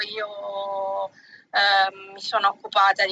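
A woman speaks in a medium pitch with a bright, sharp tone. The sound is dry and close with no echo. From Tuscany, Pietrasanta (Lucca). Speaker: artisan bag maker. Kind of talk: interview.

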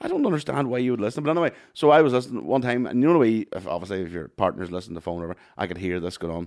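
A man with a Northern Irish accent speaks with lively intonation. The recording is very clean, with a silent background. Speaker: podcast co-host. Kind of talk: casual banter chat.

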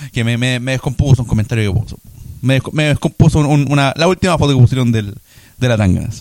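Spoken very fast in a Chilean accent, the voice has ordinary pitch variation. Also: man. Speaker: podcast co-host. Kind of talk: casual chat.

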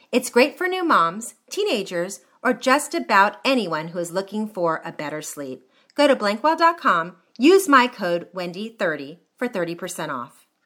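In a very clean recording with a silent background, a woman with a medium-pitched, bright, sharp tone speaks at a fairly slow pace. Her pitch swings very widely and her loudness rises and falls sharply. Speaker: podcast host. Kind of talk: casual interview chat. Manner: excitable, animated.

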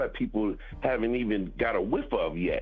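Music plays in the background while a man speaks in a relaxed tone. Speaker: rapper and music producer. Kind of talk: casual interview chat. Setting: radio studio interview. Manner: relaxed, laid-back, slangy.

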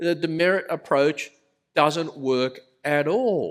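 Speaking very slowly with an Australian accent, the man has a high pitch. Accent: thick Australian. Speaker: pastor. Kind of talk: sermon. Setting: church.

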